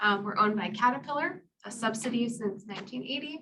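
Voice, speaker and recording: A woman speaks at a fairly quick pace with an American accent, her tone bright and sharp and her pitch varying in an ordinary way. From New York/New Jersey area, US. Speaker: applications engineer, presenter. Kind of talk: technical presentation. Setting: podium before live audience. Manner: animated.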